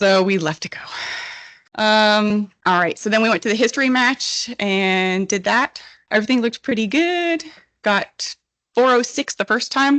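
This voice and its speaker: A shaky voice speaks at a fairly slow pace with lively intonation and very even loudness. The sound is dry and close with no echo, over a quiet background. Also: woman, fairly high pitch for a woman. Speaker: petroleum engineer presenter. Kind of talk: technical presentation. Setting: conference stage with audience.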